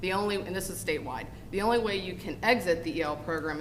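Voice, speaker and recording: Amid noticeable background noise and audible room echo, a woman speaks at a fairly quick pace with ordinary pitch variation. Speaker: school district special programs administrator. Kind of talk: board meeting presentation. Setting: school board meeting. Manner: fast.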